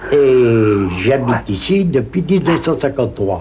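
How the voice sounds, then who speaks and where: A man speaks at a very slow pace with a medium pitch and lively intonation. Noticeable background noise and audible room echo surround him. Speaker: elderly tenant. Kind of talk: interview testimony.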